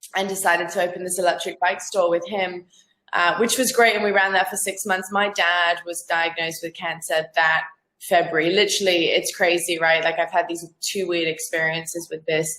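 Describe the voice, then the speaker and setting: Her tone is bright and sharp, her pitch fairly low for a woman. This woman keeps a monotone, flat intonation at a moderate pace. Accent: Australian. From Zambia. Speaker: freelance business owner. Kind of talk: casual interview chat. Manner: halting, many fillers and repeats.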